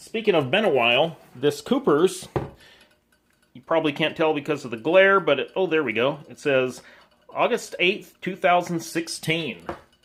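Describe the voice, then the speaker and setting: A man speaks at a fairly high pitch with lively intonation. His loudness swings widely. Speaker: homebrewer. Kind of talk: tutorial. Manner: fast.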